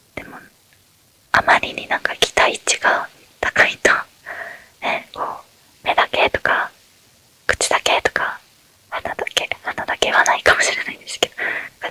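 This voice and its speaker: A woman whispers at a moderate pace in a relaxed tone. Noticeable background noise can be heard. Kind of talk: ASMR Q&A talk. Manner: whispered; relaxed, soft-spoken.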